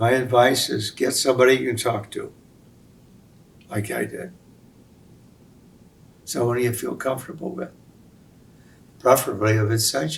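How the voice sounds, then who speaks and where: A man with a medium pitch and vocal fry talks at a moderate pace, using ordinary pitch variation and long, frequent pauses. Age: 80s+. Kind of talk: interview answer.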